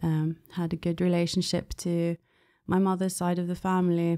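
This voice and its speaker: A woman with a British accent speaks at a moderate pace in a dark, mellow tone and fairly low pitch. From England, London. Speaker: former Jehovah's Witness. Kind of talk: interview. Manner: hesitant, many fillers.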